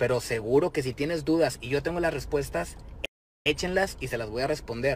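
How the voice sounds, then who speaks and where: With a Mexican accent, a man talks at a fairly quick pace in an animated tone with vocal fry and ordinary pitch variation, the sound dry with no echo and light background noise behind him. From Mexico. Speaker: rapper. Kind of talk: direct-to-camera video message. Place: car. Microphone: phone near.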